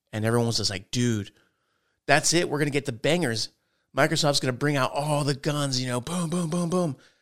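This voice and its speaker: A plain, everyday voice talks at a fairly quick pace with ordinary pitch variation. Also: man, fairly high pitch for a man. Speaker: gaming podcast host. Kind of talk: casual chat. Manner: jokey, frequent laughter.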